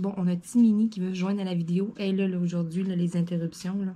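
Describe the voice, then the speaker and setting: A woman's somewhat breathy, dark, mellow voice at medium pitch, fairly quick in pace, with a Quebec accent. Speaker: craft YouTuber. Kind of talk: casual vlog chat. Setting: at home desk. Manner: animated.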